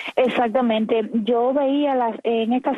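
The voice has ordinary pitch variation and moves at a very slow pace. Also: woman. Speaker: activist. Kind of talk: interview.

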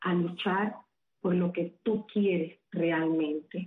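Very slow in pace, a woman talks at a medium pitch with fairly even intonation. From Cuba, Havana. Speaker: psychic medium, social media personality. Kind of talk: radio interview.

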